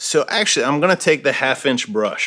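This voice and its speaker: A man speaks at a fairly quick pace. His tone is bright and sharp. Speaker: painter. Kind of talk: tutorial. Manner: fast; casual.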